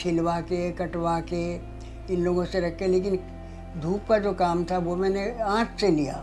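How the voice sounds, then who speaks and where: The speech is monotone with flat intonation, and music plays in the background. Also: woman. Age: 80s+. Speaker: home pickle business owner. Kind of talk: interview answer.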